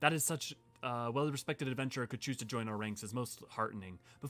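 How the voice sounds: A natural reading voice moves through ordinary pitch variation as it goes.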